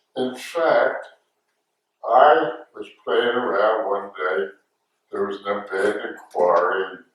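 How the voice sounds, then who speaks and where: A man with an American accent talks at a very slow pace, leaving long, frequent pauses. Audible room echo surrounds his voice. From US Northeast, Philadelphia. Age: 90s. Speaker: war veteran. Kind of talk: oral history interview. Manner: halting.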